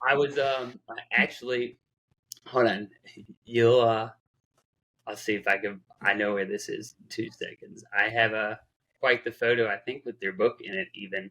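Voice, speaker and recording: A man speaks with a medium pitch and a bright, sharp tone. His intonation is fairly even, broken by long, frequent pauses. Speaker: financial advisor. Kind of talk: casual chat.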